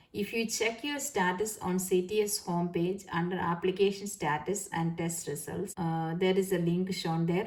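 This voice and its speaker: Somewhat breathy, a woman with a Keralan accent speaks at a medium pitch and a moderate pace. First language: Malayalam. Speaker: nurse and YouTuber. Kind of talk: tutorial. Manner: halting, many fillers.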